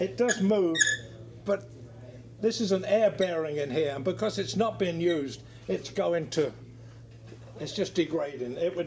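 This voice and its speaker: High male voice at a moderate pace with ordinary pitch variation, long, frequent pauses and noticeable background noise. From England, west London. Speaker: aircraft restoration machinist. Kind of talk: casual shop tour interview. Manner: halting.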